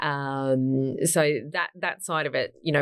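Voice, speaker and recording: A woman with an Australian accent in a very clean recording with a silent background. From Gold Coast, Queensland, Australia. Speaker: modeling agency founder. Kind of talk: interview.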